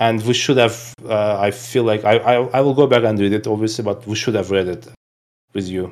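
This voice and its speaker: A man talks at a fairly quick pace with fairly even intonation. He has an ordinary speaking voice. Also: fairly low pitch for a man. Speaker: history YouTube creator, guest. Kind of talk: casual chat. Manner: joking.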